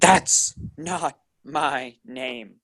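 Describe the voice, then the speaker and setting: A man's put-on character voice, fairly high-pitched, with ordinary pitch variation and a dry, close sound with no echo. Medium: read story. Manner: gruff, terse.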